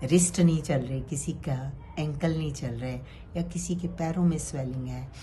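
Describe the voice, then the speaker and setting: A woman's very deep, low voice with vocal fry and ordinary pitch variation. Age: 60s. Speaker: cancer survivor. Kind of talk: motivational talk.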